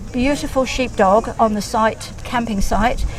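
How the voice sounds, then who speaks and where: A woman with an English accent speaks over noticeable background noise. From England. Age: 70s. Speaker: classic car owner. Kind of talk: casual interview. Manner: halting.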